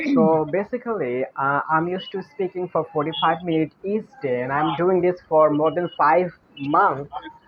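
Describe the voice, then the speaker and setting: Speaking with a Bengali accent, a man keeps a moderate pace and a fairly high pitch with ordinary variation. Background noise is noticeable. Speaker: English learner. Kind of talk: casual chat.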